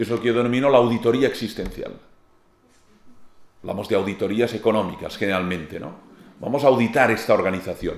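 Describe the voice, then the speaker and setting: In a room with audible echo, a man with a Catalan accent speaks at a moderate pace and medium pitch, with ordinary pitch variation. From Catalonia, Spain. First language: Catalan (speaking Spanish). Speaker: philosopher and lecturer. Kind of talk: lecture.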